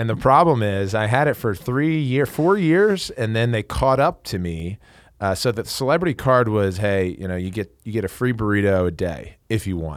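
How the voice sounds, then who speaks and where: On a very clean recording with a silent background, a man with a fairly low pitch makes very wide pitch swings. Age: 30s. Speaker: professional lacrosse player and podcast host. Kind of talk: casual sports interview. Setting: studio.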